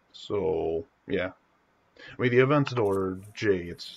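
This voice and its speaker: A somewhat breathy man talks at a fairly low pitch. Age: young. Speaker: gaming streamer. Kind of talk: casual live stream Q&A. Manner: halting.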